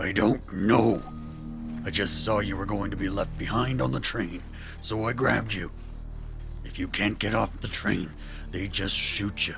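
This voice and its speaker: Over loud music in the background, a put-on character voice moves at a moderate pace. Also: man, fairly low pitch for a man. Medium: audio drama. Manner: gruff, curt.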